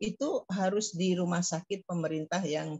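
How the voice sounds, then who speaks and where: A woman's fairly low, somewhat breathy voice at a fairly slow pace. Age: 70s. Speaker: professor. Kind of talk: lecture. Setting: video call. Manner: halting, many fillers.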